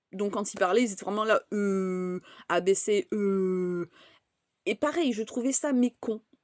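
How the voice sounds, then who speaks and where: A woman speaks very slowly at a fairly high pitch, the sound dry and close with no echo. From France, raised by English parents. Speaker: content creator. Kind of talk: casual vlog monologue. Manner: hesitant, many fillers and repetitions.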